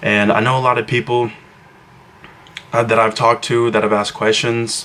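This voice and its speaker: Quietly and at a fairly quick pace, a man with a medium pitch speaks in fairly even intonation over noticeable background noise. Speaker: fitness vlogger. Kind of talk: casual vlog talk to camera. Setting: at home, brother sleeping nearby. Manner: quiet, hushed; hesitant, many fillers.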